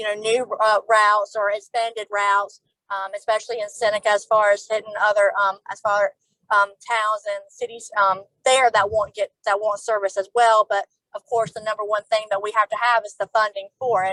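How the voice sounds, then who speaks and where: A woman speaks in a fairly high, bright, sharp voice with flat, monotone intonation. The sound is dry and close with no echo. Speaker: transit agency official. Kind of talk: panel discussion. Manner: fast when nervous; hesitant, many fillers.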